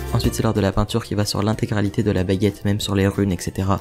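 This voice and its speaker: A man speaks at a very fast pace with a fairly low pitch and fairly even intonation. Music plays in the background. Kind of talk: DIY tutorial voice-over. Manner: whispered, quiet.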